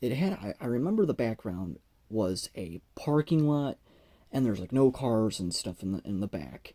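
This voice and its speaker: In a very clean recording with a silent background and a dry, close sound with no echo, a man with a dark, mellow tone speaks at a moderate pace with very wide pitch swings. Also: medium pitch for a man. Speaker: YouTuber. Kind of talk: casual storytelling. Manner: halting, repetitive, stuttering.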